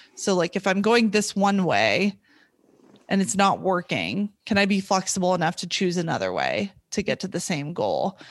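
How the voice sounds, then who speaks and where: A woman's medium-pitched voice with vocal fry and fairly even intonation, over a quiet background. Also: moderate pace. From US West (California, Montana). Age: 20s. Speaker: former athlete, triathlete. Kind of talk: interview, casual conversation.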